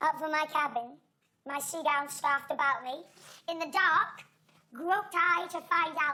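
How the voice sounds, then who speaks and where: A woman's high-pitched, put-on character voice at a moderate pace, with long, frequent pauses. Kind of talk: Shakespearean stage acting. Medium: stage play. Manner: declamatory, intense.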